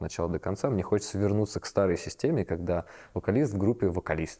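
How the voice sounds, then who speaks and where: A man with a dark, mellow tone and fairly low pitch talks at a very fast pace with ordinary pitch variation, in a dry, close sound with no echo. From Moscow region, Russia. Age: 30s. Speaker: sound engineer and musician. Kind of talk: casual interview. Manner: halting.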